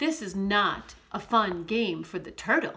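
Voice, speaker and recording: Using a put-on character voice, a woman speaks at medium pitch and a fairly slow pace. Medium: read story. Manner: timid.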